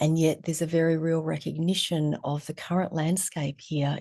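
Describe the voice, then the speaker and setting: This woman has an Australian accent and a dark, mellow tone. Her pitch is fairly low, and her pace is moderate. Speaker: therapist and trauma educator. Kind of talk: casual interview conversation.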